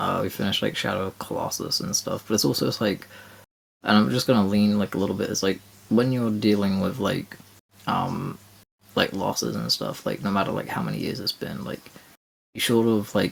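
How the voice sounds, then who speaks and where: Quiet and fairly low-pitched, a man talks at a fairly quick pace with ordinary pitch variation. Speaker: co-host of gaming podcast. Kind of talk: casual chat. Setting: late-night home recording. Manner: quiet, subdued.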